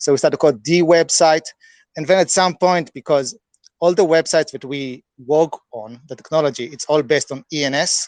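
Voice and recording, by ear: This man has a fairly high pitch and a slightly mellow tone with a non-native accent. The sound is dry and close, with no echo. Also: ordinary pitch variation, moderate pace.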